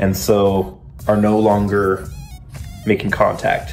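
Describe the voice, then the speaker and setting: A man speaks with faint music in the background. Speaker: car hobbyist vlogger. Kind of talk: casual vlog chat. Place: garage. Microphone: phone near.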